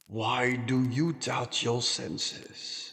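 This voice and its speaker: Putting on a character voice, a man talks at a medium pitch. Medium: read story. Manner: grave, terse.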